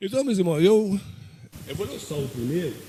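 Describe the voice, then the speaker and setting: A man's high-pitched voice moves at a fairly quick pace with lively intonation. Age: 60s. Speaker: church deacon preacher. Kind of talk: sermon. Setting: church. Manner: halting.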